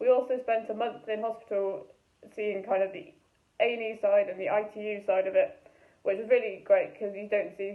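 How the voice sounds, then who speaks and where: Speaking at a fairly quick pace, a woman uses a fairly high pitch with fairly even intonation. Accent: Welsh. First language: Welsh. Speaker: medical student. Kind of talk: student testimonial.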